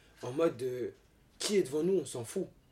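This man's voice has a dark, mellow tone with ordinary pitch variation. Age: 20s. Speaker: professional dancer and model. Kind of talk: casual chat.

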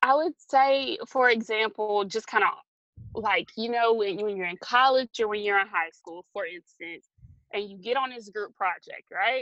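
A woman speaks at a fairly slow pace with a fairly high pitch and a bright, sharp tone. Her loudness swings widely, with ordinary pitch variation. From US South, Georgia (Valdosta). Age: 20s. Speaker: digital news reporter. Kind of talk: casual interview. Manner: hesitant, many fillers.

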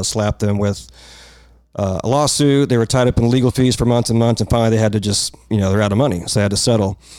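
Recorded very cleanly over a silent background, a man has an unremarkable speaking voice at a medium pitch with fairly even intonation. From North Texas. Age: 40s. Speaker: light painting artist. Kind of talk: casual chat.

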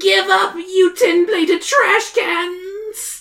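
A put-on character voice pitched extremely high moves at a very slow pace. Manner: commanding, menacing.

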